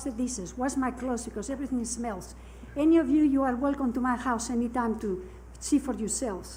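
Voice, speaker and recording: Audible room echo surrounds a woman talking at a fairly quick pace in a high pitch with ordinary pitch variation. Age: 80s+. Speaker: resident speaking at public comment. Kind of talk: public comment. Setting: council meeting.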